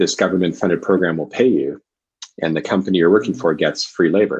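With a Canadian accent, a man speaks in a very deep, low voice with ordinary pitch variation. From Canada, Vancouver. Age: 40s. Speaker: executive coach. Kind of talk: interview.

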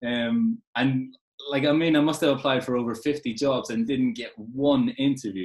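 Ordinary in pitch variation, a man with a medium pitch talks at a moderate pace. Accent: Irish. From Ireland. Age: 20s. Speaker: football coach. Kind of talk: casual interview chat. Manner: halting, repeats words.

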